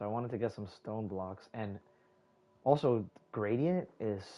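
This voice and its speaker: This soft-spoken voice has a dark, mellow tone and moves at a fairly slow pace. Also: man. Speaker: gaming streamer. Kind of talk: live gameplay commentary. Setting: live stream. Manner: casual, filler-heavy.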